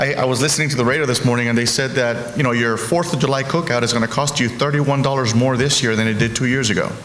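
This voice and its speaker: Talking at a very fast pace in a Spanish accent, a man has a medium pitch and ordinary pitch variation, with audible room echo and noticeable background noise. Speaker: healthcare executive. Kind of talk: panel discussion. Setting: stage with audience.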